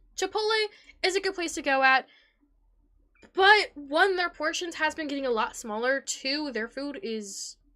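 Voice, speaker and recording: A woman with a high pitch and a bright, sharp tone speaks fairly slowly in a raised, projected voice, with very wide pitch swings, big swings in loudness and long, frequent pauses. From Puerto Rican and Italian heritage. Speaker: streamer. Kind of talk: live stream chat. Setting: live stream. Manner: energetic.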